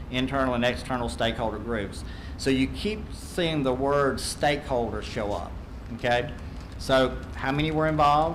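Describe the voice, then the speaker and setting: There is audible room echo and noticeable background noise. A man speaks in a Southern US accent. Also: medium pitch for a man, ordinary pitch variation. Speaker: accreditation consultant. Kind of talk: presentation to school board. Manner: fast.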